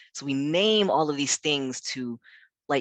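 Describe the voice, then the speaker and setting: In a dry, close sound with no echo and a quiet background, a man at medium pitch talks at a moderate pace with ordinary pitch variation. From South Africa and US Midwest. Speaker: pastor and community center founder. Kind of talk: webinar talk. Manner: conversational with many fillers.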